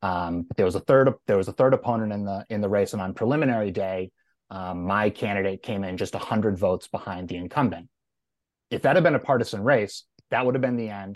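At a very fast pace, a man with a fairly low pitch and ordinary pitch variation speaks in a dry, close sound with no echo against a quiet background. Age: 30s. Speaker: political consultant. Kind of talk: debate.

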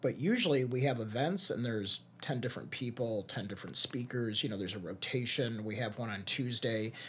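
A man with a Chicago accent talks at a fairly quick pace with hardly any pauses. His voice is medium in pitch and somewhat breathy, with ordinary pitch variation. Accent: Chicago-area American. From US Midwest, Chicago area. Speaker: social media strategist. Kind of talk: casual interview.

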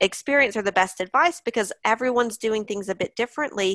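A woman's ordinary speaking voice with an American accent, fairly high in pitch with ordinary pitch variation. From US. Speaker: online English teacher and business owner. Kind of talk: interview.

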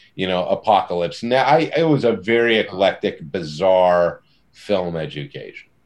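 A man speaks at a moderate pace in an unremarkable speaking voice with lively intonation. The background is quiet. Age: 50s. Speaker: comic book writer. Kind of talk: casual interview.

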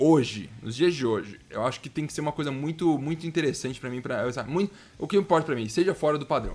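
Animated and very fast, a man speaks in a fairly high voice with lively intonation. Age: 20s. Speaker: gaming podcast host. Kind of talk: casual chat.

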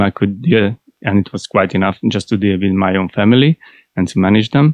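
Over a quiet background, a speaker with a Hungarian accent talks at a fairly quick pace, the sound dry and close with no echo. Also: man. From Hungary. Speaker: IT process analyst. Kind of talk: interview.

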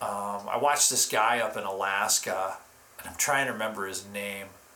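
A man talks at a fairly slow pace. There is audible room echo and noticeable background noise. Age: 50s. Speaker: musician and live-stream host. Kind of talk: casual chat.

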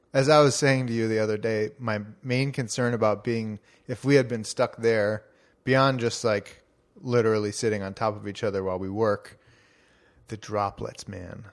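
In a very clean recording with a silent background, a man with a plain, everyday voice speaks at a moderate pace and medium pitch, his intonation fairly even and his loudness swinging widely. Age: 30s. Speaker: newsletter publisher and podcast co-host. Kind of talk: casual chat. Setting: home recording.

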